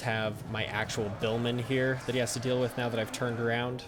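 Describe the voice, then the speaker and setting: Noticeable noise fills the background. A man speaks at a medium pitch in a monotone, flat way. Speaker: gaming YouTuber. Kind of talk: gameplay commentary. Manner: halting, many fillers; fast.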